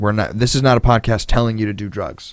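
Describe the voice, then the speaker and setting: The man's voice has a medium pitch and ordinary pitch variation. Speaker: podcast co-host. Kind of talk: casual chat. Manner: fast; loud.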